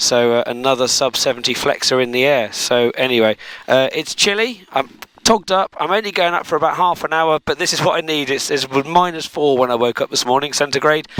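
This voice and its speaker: A man with an English accent talks at a fairly quick pace, showing ordinary pitch variation. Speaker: microlight pilot and video creator. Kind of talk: casual vlog narration. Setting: outdoors at an airfield; radio calls over aircraft radio.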